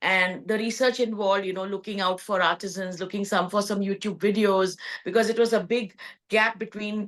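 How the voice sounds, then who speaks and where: At a fairly quick pace, a woman with a Gujarati accent speaks in a monotone, flat manner at a medium pitch. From India, Gujarat (Kutch region). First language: Kutchi. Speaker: textile entrepreneur. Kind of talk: podcast interview.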